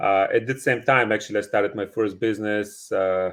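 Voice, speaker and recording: The speaker has a Bulgarian accent and a monotone, flat intonation. The pace is moderate over a quiet background. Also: man. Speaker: real estate investor. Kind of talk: podcast interview. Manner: halting, many fillers.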